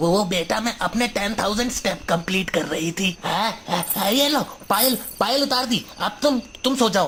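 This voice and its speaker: Over clear background noise, a woman does a cartoonish character voice at a medium pitch and a moderate pace, with a nervous tone. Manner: nervous, stammering.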